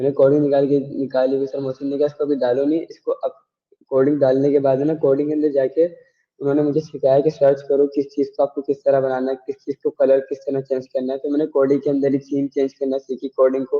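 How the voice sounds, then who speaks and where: A man speaks at a moderate pace in a fairly high pitch. His intonation stays monotone and flat. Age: young. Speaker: student. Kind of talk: interview.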